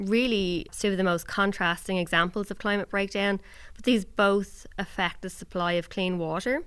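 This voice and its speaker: The recording is very clean, with a silent background. A woman with an Irish accent speaks at medium pitch. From Ireland. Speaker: reporter. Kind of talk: casual chat.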